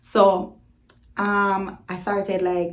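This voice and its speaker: A woman speaks with a Jamaican accent. Her pace is very slow. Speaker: YouTuber. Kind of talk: storytime vlog. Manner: casual, animated.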